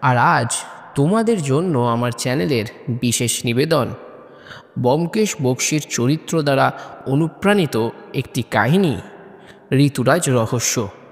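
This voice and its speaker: The intonation is lively and the loudness very even. Noticeable background noise can be heard. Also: man, medium pitch for a man. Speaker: narrator. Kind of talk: podcast-style intro to listeners.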